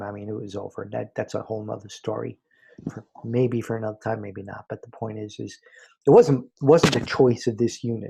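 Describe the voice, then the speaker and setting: A man with an American accent, somewhat breathy, with fairly even intonation. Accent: slight remaining New York. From New York. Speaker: spiritual teacher, former college professor. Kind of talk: spiritual talk. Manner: conversational.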